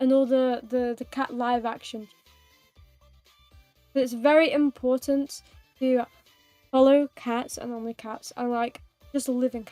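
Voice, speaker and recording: Over music in the background, a woman with a British accent speaks in a high voice at a fairly slow pace, her playful tone set against monotone, flat intonation, with big swings in loudness, long, frequent pauses and a dry, close sound with no echo. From United Kingdom. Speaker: vtuber streamer. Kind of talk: casual livestream gaming chat. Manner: chatty, playful.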